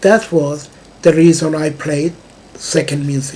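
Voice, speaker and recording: A man with a slight non-native accent speaks at a fairly high pitch and a fairly slow pace. Noticeable background noise runs underneath. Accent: slight foreign accent in English. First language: not English. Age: 60s. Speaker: music composer, vlogger. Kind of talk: personal video monologue. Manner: halting, with many fillers.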